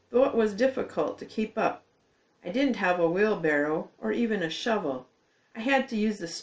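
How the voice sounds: This is a natural reading voice. Its intonation is lively.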